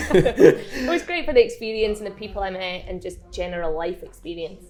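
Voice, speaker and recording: A woman's medium-pitched voice in a Scottish accent, with very wide pitch swings and big swings in loudness, over noticeable background noise. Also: fairly quick pace. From eastern Scotland, near St Andrews. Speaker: bar owner. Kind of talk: casual interview.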